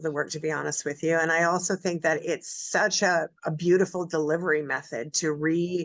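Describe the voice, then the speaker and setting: Over a quiet background, a woman with an unremarkable speaking voice talks at a fairly quick pace in a fairly low pitch, with hardly any pauses. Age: 60s. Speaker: radio host. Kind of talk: radio interview.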